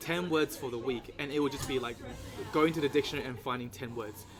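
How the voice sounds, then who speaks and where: There is music in the background as a man speaks fairly quickly. He has a non-native accent and fairly even intonation. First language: not English. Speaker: podcast host. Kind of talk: casual chat. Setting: in-person interview. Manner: halting, many fillers.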